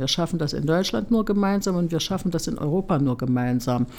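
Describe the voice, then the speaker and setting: A woman's fairly low voice with lively intonation. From East Germany. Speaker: politician. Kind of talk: interview. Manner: hesitant with fillers.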